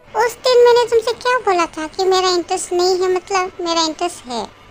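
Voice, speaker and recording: Squeaky and extremely high-pitched, this put-on character voice moves at a fairly quick pace. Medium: read story. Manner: warm, affectionate.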